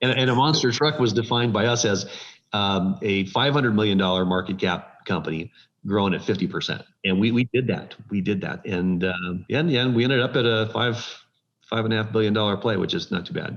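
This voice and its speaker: The speaker has an unremarkable speaking voice. The pace is fairly quick, with ordinary pitch variation. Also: man, fairly low pitch for a man. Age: 60s. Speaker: tech company founder and chairman. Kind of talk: interview.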